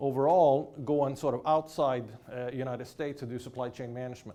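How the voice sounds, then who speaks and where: A man speaks with a Swedish accent. His pitch is medium and his intonation fairly even. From Sweden. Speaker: professor. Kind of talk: lecture. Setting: lecture hall with audience.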